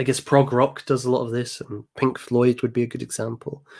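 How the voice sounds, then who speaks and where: This is a very clean recording with a silent background. A man with an English accent talks at a medium pitch. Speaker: music commentator and channel host. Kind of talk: live stream commentary. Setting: live stream. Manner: hesitant with fillers. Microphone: new microphone.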